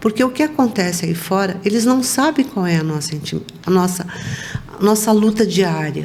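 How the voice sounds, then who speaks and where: Over noticeable background noise, a woman speaks at a moderate pace with lively intonation and a medium pitch. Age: 60s. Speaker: business owner. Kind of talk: interview.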